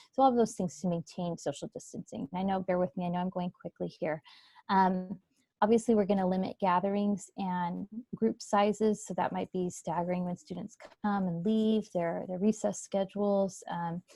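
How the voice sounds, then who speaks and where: Dry and close with no echo, a woman's voice comes across somewhat breathy, with a dark, mellow tone. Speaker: school district representative. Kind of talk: presentation at virtual meeting. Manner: fast.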